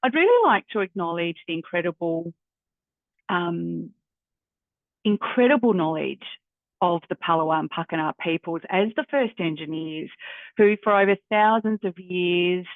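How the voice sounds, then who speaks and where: A woman with an Australian accent speaks at a fairly low pitch. She leaves long, frequent pauses. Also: ordinary pitch variation, moderate pace. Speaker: university careers adviser. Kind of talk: workshop facilitation. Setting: video call. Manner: hesitant, many fillers.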